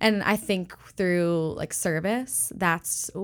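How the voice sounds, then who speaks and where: A woman's fairly low-pitched voice, a normal speaking voice, on a very clean recording with a silent background. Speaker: church staff member. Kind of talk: casual interview chat.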